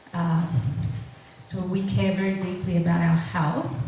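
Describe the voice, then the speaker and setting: A woman with a fairly low pitch speaks amid strong room echo and light background noise. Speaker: natural health therapist. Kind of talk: presentation to a live audience. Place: hall.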